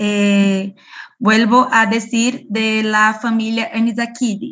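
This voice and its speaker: With a non-native accent, a woman speaks at a fairly high pitch and a very slow pace. Her intonation is monotone and flat. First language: Portuguese (speaking Spanish). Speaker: parasitology researcher. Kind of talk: Q&A after online lecture. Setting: video call. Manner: halting.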